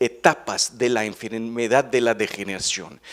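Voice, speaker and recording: A man speaks at a fairly slow pace. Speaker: veterinary ophthalmologist, researcher. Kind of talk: conference talk. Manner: halting, many fillers and repetitions.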